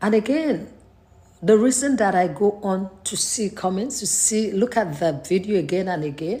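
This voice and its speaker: A woman speaks with a Nigerian accent at a moderate pace. Her pitch is medium, and her intonation is lively. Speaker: faith vlogger. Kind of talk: personal vlog monologue. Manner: hesitant, many fillers.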